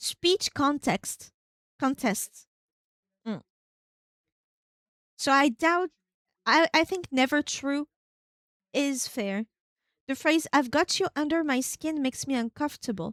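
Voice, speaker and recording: Speaking in a French accent with ordinary pitch variation, the voice takes long, frequent pauses in a dry, close sound with no echo. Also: woman, high pitch for a woman. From France. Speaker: VTuber gaming streamer. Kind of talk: casual livestream chat reading a questionnaire. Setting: livestream. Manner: not fast, fluid and precise.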